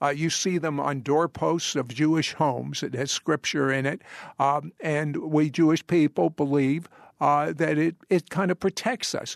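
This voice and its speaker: An unremarkable speaking voice from a man with an American accent, fairly high pitch, fairly even intonation and a fairly slow pace, in a dry, close sound with no echo and a quiet background. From US. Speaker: radio host. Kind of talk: radio monologue.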